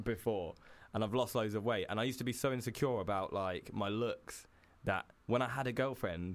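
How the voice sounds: Ordinary pitch variation accompanies a moderate pace. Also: man, fairly low pitch for a man.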